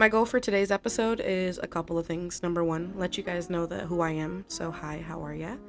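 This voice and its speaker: A woman speaks at a fairly low pitch and a fairly quick pace. Her intonation is fairly even, with hardly any pauses. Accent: American. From New Jersey, Jersey City. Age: 20s. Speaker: podcast host. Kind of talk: casual podcast monologue. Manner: casual, chatty. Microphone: cheap mic, staticky.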